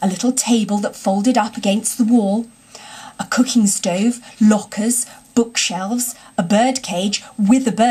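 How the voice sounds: Fairly even intonation from a reader who sounds natural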